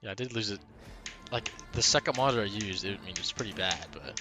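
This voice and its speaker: A soft-spoken man at a very fast pace, with music in the background. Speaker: gaming streamer. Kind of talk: live stream commentary. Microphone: headset mic close to mouth.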